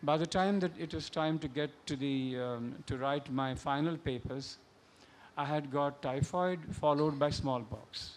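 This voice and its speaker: Delivered at a fairly slow pace, the speech carries a Marathi accent and ordinary pitch variation. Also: man. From India, Bombay (Maharashtra). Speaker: novelist. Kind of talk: panel discussion. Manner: halting.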